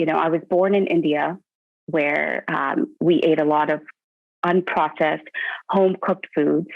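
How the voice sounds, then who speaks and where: A woman speaks at a moderate pace in a fairly low pitch, with monotone, flat intonation. Her loudness stays very even, broken by long, frequent pauses. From Canada. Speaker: weight-loss client. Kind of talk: interview. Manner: halting.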